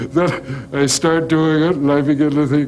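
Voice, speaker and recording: Against noticeable background noise and audible room echo, a man talks at a fairly slow pace in a fairly high voice. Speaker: sculptor. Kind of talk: interview.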